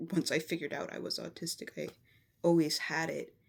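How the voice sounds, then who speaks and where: The speech runs at a fairly quick pace. The recording is very clean, and the background is silent. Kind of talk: personal vlog monologue. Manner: flat, not very expressive.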